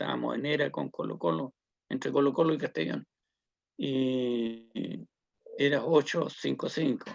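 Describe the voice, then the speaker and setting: A man with a Chilean accent, fairly slow pace with long, frequent pauses, and a dry, close sound free of echo. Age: 70s. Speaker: social activist and community leader. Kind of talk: interview testimony. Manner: hesitant, many fillers.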